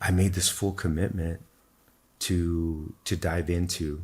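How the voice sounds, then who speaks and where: A man with a very deep, low, somewhat breathy voice speaks very slowly with fairly even intonation in a very clean recording with a silent background. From Texas, El Paso. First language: Spanish. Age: 40s. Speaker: spiritual teacher. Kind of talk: interview testimony. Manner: repeats words, fillers.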